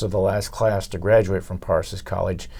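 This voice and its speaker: Somewhat breathy and dark, mellow in tone, a man with an American accent speaks at a fairly low pitch and a moderate pace. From Iowa, US Midwest. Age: 70s. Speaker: retired teacher and coach. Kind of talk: community talk, reminiscing. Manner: halting, many fillers.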